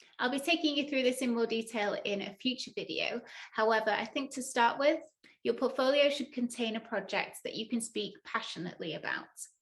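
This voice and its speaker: Here a woman with a northern English accent speaks fast-ish, at a fairly quick pace, in a high pitch. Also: ordinary pitch variation. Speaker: data analyst and tech educator. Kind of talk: tutorial.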